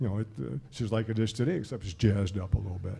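A man rushes along at a very fast pace, his fairly low voice dark, mellow and somewhat breathy. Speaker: retired former college basketball player. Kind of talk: casual chat. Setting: live broadcast from a lounge with audience.

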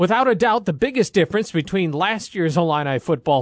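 A man speaks with lively intonation, the sound dry and close without echo against a quiet background. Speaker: radio sports show host. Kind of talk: pregame radio show. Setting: outdoors at stadium.

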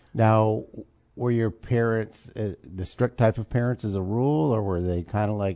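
A dark, mellow tone with an American accent, ordinary pitch variation and a quiet background. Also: man. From central Illinois. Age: 60s. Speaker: talk show host. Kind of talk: interview.

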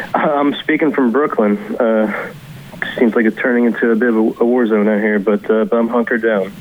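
Over noticeable background noise, a man speaks at a moderate pace in a medium pitch, with very even loudness and ordinary pitch variation. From Kentucky. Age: 30s. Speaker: author. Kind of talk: interview. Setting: remote call.

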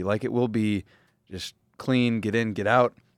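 In a Minnesota accent, a man speaks at a moderate pace with ordinary pitch variation, recorded dry and close with no echo on a very clean recording with a silent background. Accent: Minnesotan American. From US Midwest. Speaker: football beat reporter. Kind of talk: casual chat.

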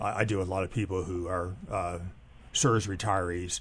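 A fairly low-pitched, somewhat breathy male voice with ordinary pitch variation. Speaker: economist. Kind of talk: radio discussion. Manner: halting, many filler sounds.

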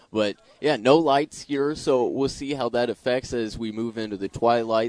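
Here is a normal speaking voice of a man at a moderate pace with fairly even intonation. The sound is dry and close, with no echo. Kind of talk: live radio play-by-play commentary of a Little League game.

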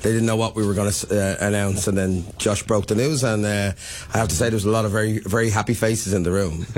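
This man speaks very fast in a fairly low voice, his loudness very even throughout. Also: fairly even intonation. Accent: Dublin. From Dublin, Ireland. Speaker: city mayor. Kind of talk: casual radio interview.

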